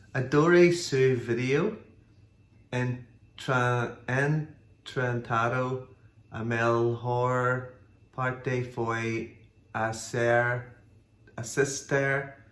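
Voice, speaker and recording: This man has a strong non-native accent and fairly even intonation. He speaks at a very slow pace, with long, frequent pauses. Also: medium pitch for a man. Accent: strong foreign accent in Portuguese. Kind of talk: casual conversation, reading comments aloud.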